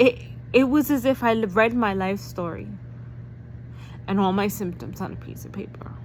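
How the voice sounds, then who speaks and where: An animated voice with an American accent, moderate pace, long and frequent pauses, big swings in loudness, and noticeable background noise. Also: woman. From New York. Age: 40s. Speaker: vlogger. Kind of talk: personal vlog testimony.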